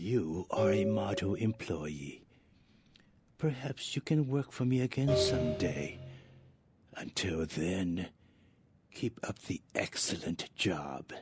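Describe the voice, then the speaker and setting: Over background music, a man uses a put-on character voice pitched very deep and low, moving at a fairly slow pace with long, frequent pauses. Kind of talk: game voice acting. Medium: video game. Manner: formal, measured.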